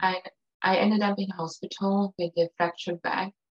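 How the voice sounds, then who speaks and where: In an American accent, a woman speaks at a moderate pace with a fairly low pitch and ordinary pitch variation. The sound is dry and close, with no echo. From outside the US. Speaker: writer and blogger. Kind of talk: testimony.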